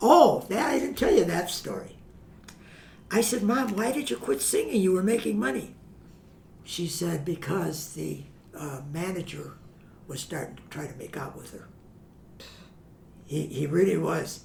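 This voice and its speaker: Big swings in loudness and long, frequent pauses mark a man's moderate-paced speech with an American accent, heard in audible room echo. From US Midwest, Chicago. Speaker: family historian guest. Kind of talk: interview storytelling.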